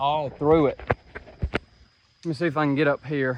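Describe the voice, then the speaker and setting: The speaker has an American accent and keeps a fairly slow pace. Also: man. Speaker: trapper. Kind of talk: outdoor vlog narration. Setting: outdoors, walking along a creek.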